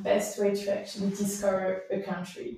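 A woman talks at a moderate pace, with audible room echo. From Switzerland, Gruyère region. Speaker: cyclist and traveller. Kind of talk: casual interview chat. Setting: in person recording. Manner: halting, many fillers. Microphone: poor sound quality.

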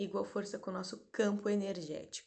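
This is a normal speaking voice from a woman at medium pitch. Her intonation stays fairly even. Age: 30s. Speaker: doula and therapist. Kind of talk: spiritual talk and guided meditation. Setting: live stream. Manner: slow, calm.

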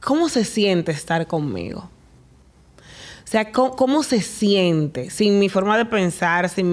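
A woman talks in a normal speaking voice at a fairly slow pace. Her pitch shows ordinary variation. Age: 30s. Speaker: podcast host. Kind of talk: casual interview.

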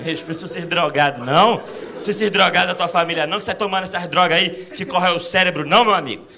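A man with a high voice talks at a fairly quick pace and ordinary pitch variation, with audible room echo and noticeable background noise. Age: 30s. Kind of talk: stand-up. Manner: animated.

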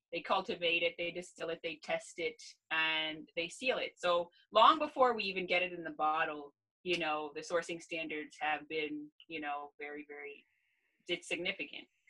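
A woman with a Canadian accent, fairly low in pitch, in a bright, sharp tone, with ordinary pitch variation at a moderate pace. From Canada, Ontario. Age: 30s. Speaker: gerontologist. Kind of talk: casual interview.

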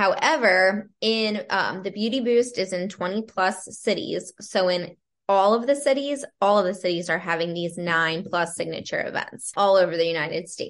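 This woman has a plain, everyday voice with an American accent. She speaks at a moderate pace and medium pitch with ordinary pitch variation. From Pennsylvania, Lancaster County. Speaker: entrepreneur and real estate agent. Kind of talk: casual interview.

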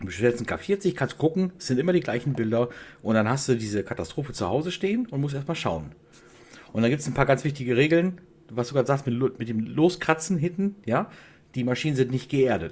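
A somewhat breathy man at medium pitch, with lively intonation and a fairly quick pace. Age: 40s. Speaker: hobby laser maker, media designer. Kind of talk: casual interview chat.

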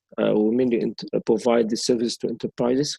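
At a fairly quick pace, a man with an Arabic accent speaks in a medium pitch and a dark, mellow tone, with a dry, close sound and no echo. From Egypt. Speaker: sustainable mobility expert. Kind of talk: interview. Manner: hesitant, many fillers.

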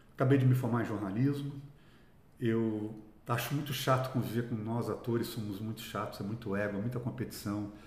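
With audible room echo around him, a man with a somewhat breathy, medium-pitched voice speaks at a moderate pace with fairly even intonation and long, frequent pauses. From Brazil, São Paulo (from age 7; born Minas Gerais). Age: 60s. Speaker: actor. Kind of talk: interview conversation.

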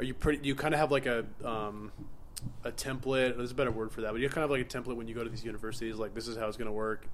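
With an American accent, a man talks at a very fast pace in a medium pitch. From New York. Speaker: podcast host. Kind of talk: casual interview chat. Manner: animated.

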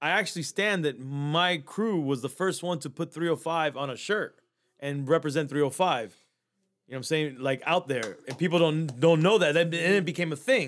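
A man with an American accent and a plain, everyday voice: fairly high pitch, ordinary pitch variation, moderate pace, a very clean recording with a silent background. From Miami, Florida. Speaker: podcast producer. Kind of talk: casual chat.

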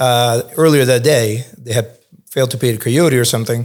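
With an American accent and a normal speaking voice, a man talks at a medium pitch with fairly even intonation. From Cuba, Spain and New York. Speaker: think tank fellow, former journalist. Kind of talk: interview podcast.

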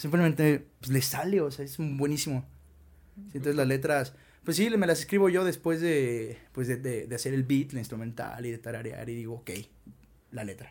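This is an ordinary speaking voice: a man at a medium pitch, talking at a moderate pace with ordinary pitch variation. His loudness swings widely. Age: 20s. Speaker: musician. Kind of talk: casual interview chat.

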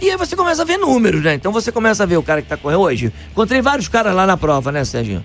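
A man is speaking with noticeable background noise behind him. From Rio de Janeiro state, Brazil (Niterói). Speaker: running coach. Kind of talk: radio interview.

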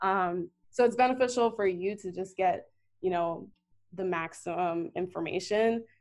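A woman with an American accent talks at a moderate pace in a plain, everyday voice, her pitch medium with ordinary variation. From US, Northern Virginia (DC area). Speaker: journalist. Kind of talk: casual interview.

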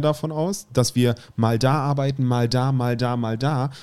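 Set against a silent background in a very clean recording, the voice has a dark, mellow tone and ordinary pitch variation. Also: man. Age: 30s. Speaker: podcast co-host. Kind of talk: casual chat.

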